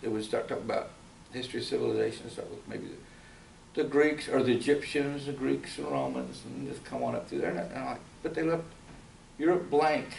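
There is audible room echo and light background noise. A man speaks at a very fast pace with an American accent. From rural Kentucky. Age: 60s. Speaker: fantasy artist; artist giving demonstration. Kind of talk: live drawing demonstration. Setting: university library event with audience. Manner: casual, hesitant with fillers. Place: classroom. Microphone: camera far.

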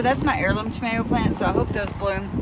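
Loud background noise fills the recording. The sound itself is dry, with no echo. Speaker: home vlogger. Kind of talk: casual vlog chat. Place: garden.

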